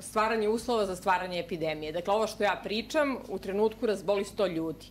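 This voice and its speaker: Over light background noise, a woman of medium pitch has an unremarkable speaking voice with ordinary pitch variation. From Serbia. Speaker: psychiatrist and anti-mandatory-vaccination activist; conference lecturer. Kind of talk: conference lecture. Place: hall. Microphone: podium.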